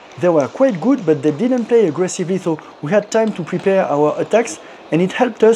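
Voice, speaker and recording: Over noticeable background noise, a man talks at a fairly quick pace. His voice is high, with lively intonation. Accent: French. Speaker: amateur table tennis player. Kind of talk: personal vlog narration.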